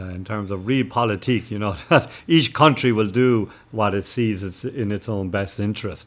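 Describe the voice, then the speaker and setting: With a Cork accent, a man speaks at medium pitch with ordinary pitch variation. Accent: Cork Irish. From Cork, Ireland. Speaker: missionary priest. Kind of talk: interview answer.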